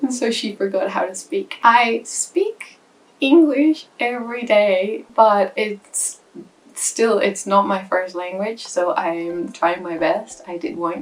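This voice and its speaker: A woman speaks very slowly in a Spanish accent. Her pitch is fairly high and her intonation lively. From Spain. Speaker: aspiring writer, vlogger. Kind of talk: casual vlog talk to camera. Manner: hesitant, with fillers.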